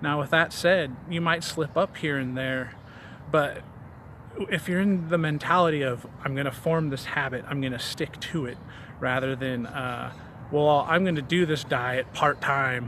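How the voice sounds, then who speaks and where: This man's voice sits at a fairly high pitch with fairly even intonation. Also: fairly slow pace. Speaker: fitness vlogger. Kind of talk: casual vlog monologue. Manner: hesitant, many fillers and repetitions; stumbles over words.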